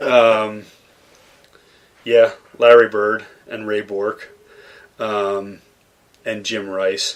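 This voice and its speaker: A man's very slow speech in an American accent, with long, frequent pauses and monotone, flat intonation. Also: fairly low pitch for a man. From US Northeast, Boston suburbs (Massachusetts). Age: 40s. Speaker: chef and caterer. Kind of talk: interview conversation.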